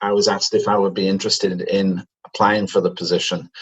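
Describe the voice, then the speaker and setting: His accent is British. The man talks at a fairly quick pace. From Manchester, England. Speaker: company chief executive. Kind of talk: interview. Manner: hesitant fillers.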